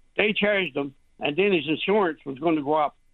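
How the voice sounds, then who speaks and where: The voice has a rural Newfoundland accent and ordinary pitch variation. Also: man. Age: 70s. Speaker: hunter. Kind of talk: radio call-in.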